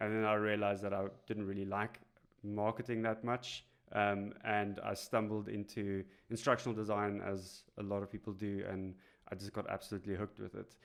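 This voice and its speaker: On a very clean recording with a silent background, a man with a South African accent speaks at a fairly quick pace. His fairly low voice stays monotone, with flat intonation. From South Africa, Cape Town. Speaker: instructional designer. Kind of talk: podcast interview. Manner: hesitant, many fillers.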